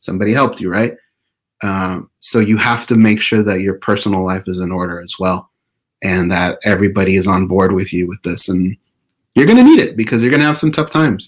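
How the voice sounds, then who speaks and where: A man with an American accent speaks at a fairly quick pace, his fairly low pitch showing ordinary variation. The recording is very clean, with a silent background. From Orange County, California. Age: 40s. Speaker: podcast host. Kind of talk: interview.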